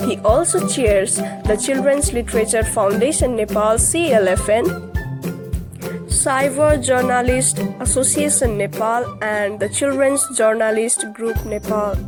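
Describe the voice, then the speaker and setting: Speech at a fairly slow pace, with music playing in the background. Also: woman. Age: young. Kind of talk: author biography reading.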